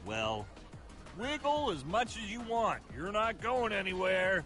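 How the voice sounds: Faint music plays behind a man doing a put-on character voice, pitched high with a fairly bright tone. His pitch swings a lot as he speaks at a fairly slow pace.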